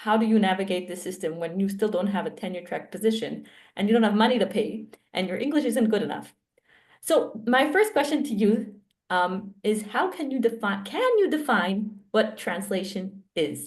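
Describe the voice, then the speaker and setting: A woman at fairly high pitch, somewhat breathy, with ordinary pitch variation and a moderate pace. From Israel. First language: Hebrew. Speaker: academic researcher. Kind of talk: interview conversation.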